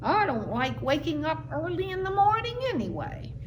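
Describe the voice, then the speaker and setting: Someone performs a put-on character voice at a moderate pace. Background noise is clear. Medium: read story. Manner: casual, friendly.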